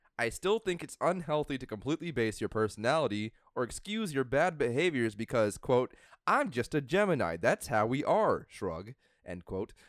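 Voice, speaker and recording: A man's medium-pitched voice with very wide pitch swings at a moderate pace, dry and close with no echo, on a very clean recording with a silent background. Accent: American. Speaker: comedy podcast co-host. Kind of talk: casual chat.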